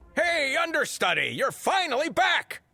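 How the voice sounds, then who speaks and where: The pace is moderate. This is a put-on character voice. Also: man, extremely high pitch for a man. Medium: video game.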